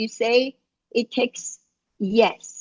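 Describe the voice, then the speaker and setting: A woman with an Iranian accent speaks at a very slow pace and a high pitch. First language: Farsi. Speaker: life coach. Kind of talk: casual chat. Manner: halting.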